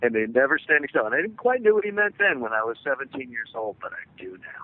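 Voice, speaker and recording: A man with a fairly high pitch talks very fast, his pitch swinging very widely and his loudness rising and falling in big swings. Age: 60s. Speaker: business consultant. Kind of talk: interview.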